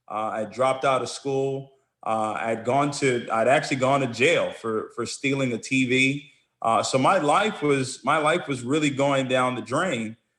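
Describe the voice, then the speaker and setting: A man with a normal speaking voice talks in an American accent at a fairly slow pace. His pitch is medium, with ordinary variation. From Nigeria, then US from about age 10. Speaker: network marketing entrepreneur. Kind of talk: interview storytelling.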